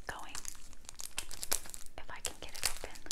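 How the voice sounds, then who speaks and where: A woman's speech competes with loud background noise. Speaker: ASMR gum chewing creator. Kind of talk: casual whispered ramble to camera. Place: home room. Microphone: lapel.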